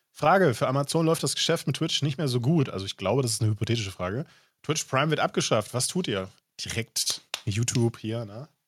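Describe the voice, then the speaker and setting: A man speaks fairly quickly at medium pitch, somewhat breathy with lively intonation. The recording is very clean with a silent background, dry and close with no echo. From rural Germany. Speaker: streamer and podcast host. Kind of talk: casual chat.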